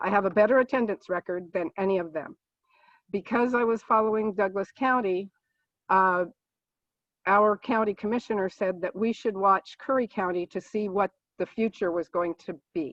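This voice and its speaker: A woman's normal speaking voice, medium in pitch, with ordinary pitch variation at a moderate pace. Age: 60s. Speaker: political candidate, nurse. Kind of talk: candidate forum opening statement. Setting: video call.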